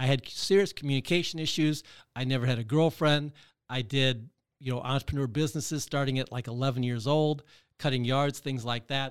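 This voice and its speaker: In a plain, everyday voice, a man with an American accent speaks at a fairly quick pace and medium pitch with fairly even intonation. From Michigan. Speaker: real estate investor. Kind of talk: interview. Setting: studio.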